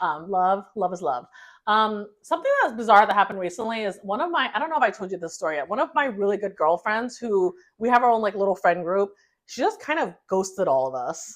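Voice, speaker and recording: Loud and fairly quick, a woman speaks at a medium pitch. Her pitch swings very widely over a quiet background. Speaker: podcast co-host. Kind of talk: casual chat.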